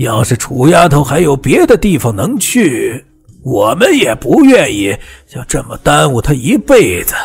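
In a put-on character voice, a man speaks at a fairly slow pace and medium pitch, with very wide pitch swings, vocal fry and a husky, rough edge.

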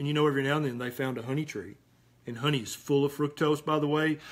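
This man's voice is pitched fairly high. He talks with a Southern US accent. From US South, Tennessee. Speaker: physician; health talk host. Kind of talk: live Q&A. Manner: animated. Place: home room. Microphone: webcam.

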